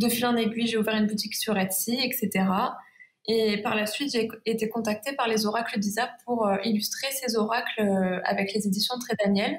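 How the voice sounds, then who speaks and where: Speaking at a moderate pace, a woman has a Provençal accent and a fairly high pitch. Her loudness stays very even. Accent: Provençal southern French accent, sing-song. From Provence, southern France. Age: 20s. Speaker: watercolour illustrator. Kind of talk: interview.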